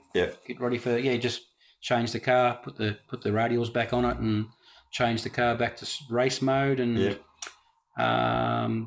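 A man talks at a fairly slow pace with an Australian accent. His intonation is monotone and flat. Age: 50s. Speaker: drag racer. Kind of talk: casual chat.

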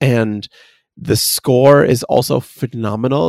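The sound is dry and close with no echo as a man speaks at a medium pitch with ordinary pitch variation. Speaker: podcast host. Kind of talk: casual chat, enthusiastic review of a video game. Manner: enthusiastic.

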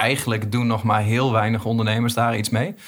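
Speaking at a fairly quick pace, a man with a medium-pitched voice keeps a flat, monotone delivery. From East Groningen, Netherlands. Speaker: podcast host. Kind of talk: casual chat. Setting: studio.

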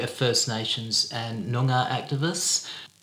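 A man at medium pitch speaks in an Australian accent with fairly even intonation. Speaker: podcast co-host. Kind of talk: podcast conversation.

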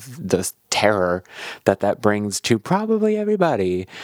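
This man has an unremarkable speaking voice, fairly low for a man, with lively intonation at a moderate pace, and the sound is dry and close with no echo. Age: 30s. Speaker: podcast host. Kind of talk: casual interview chat and narration.

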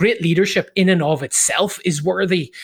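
A man with an Irish accent at a moderate pace, ordinary pitch variation, on a very clean recording with a silent background and a dry, close sound with no echo. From Ireland. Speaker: leadership coach and author. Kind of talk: interview.

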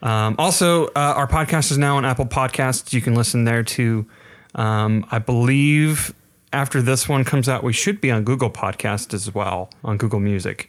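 In a very clean recording with a silent background, a man with a plain, everyday voice speaks at a moderate pace, his pitch medium with ordinary variation. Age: 20s. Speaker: podcast co-host. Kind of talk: casual chat.

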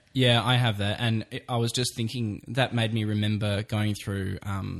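Pitched fairly low, a man with an Australian accent speaks at a moderate pace with fairly even intonation. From Australia, Brisbane. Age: 30s. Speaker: podcast host and photographer. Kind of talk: casual chat.

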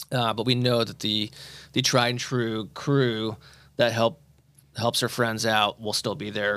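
A man with a US Midwestern accent talks at a moderate pace in a bright, sharp tone with fairly even intonation. The recording is very clean, with a silent background. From Indianapolis area, Indiana. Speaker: podcast host, cancer survivor. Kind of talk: podcast interview. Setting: studio.

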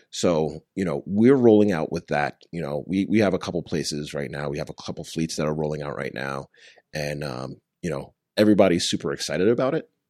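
A man with an American accent, very deep and low in pitch, vocal fry, ordinary pitch variation, a fairly quick pace, and a quiet background. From Long Island, New York. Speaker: startup founder. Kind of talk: casual interview chat.

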